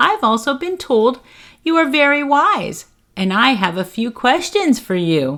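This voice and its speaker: A put-on character voice moves at a moderate pace with very wide pitch swings. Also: woman, high pitch for a woman. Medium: read story.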